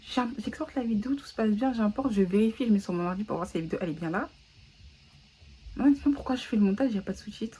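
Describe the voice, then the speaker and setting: A woman speaks very fast in a somewhat breathy, fairly high voice with a dark, mellow tone, broken by long, frequent pauses. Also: lively intonation. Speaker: vlogger. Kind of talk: casual vlog chat. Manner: mixes French with English.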